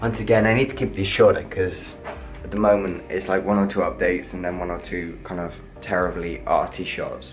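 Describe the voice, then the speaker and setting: Clear music sounds behind the speaker. He is a man talking very fast. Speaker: vlogger. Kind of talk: casual vlog chat. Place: home room. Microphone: phone near.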